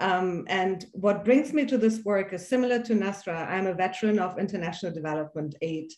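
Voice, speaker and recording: A woman with a slight German accent talks at a fairly quick pace with hardly any pauses. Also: medium pitch for a woman, ordinary pitch variation. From Iran, then Germany. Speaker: philanthropy leader, former refugee. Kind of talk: panel discussion.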